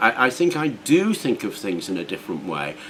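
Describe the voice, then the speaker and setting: This man's voice is fairly high and moves through very wide pitch swings. He talks at a moderate pace over noticeable background noise. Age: 60s. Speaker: YouTuber. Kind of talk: casual vlog monologue. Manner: hesitant with fillers.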